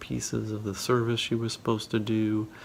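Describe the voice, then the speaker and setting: A man's voice over noticeable background noise. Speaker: vlogger and poker player. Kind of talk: casual vlog. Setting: outdoors at a rest stop.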